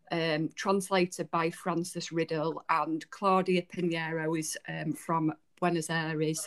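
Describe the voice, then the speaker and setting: A woman with a Yorkshire accent speaks at a fairly low pitch in a monotone, flat intonation. She goes at a fairly slow pace with hardly any pauses, in a dry, close sound with no echo. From Yorkshire, England. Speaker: podcast co-host, book reviewer. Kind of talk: casual chat.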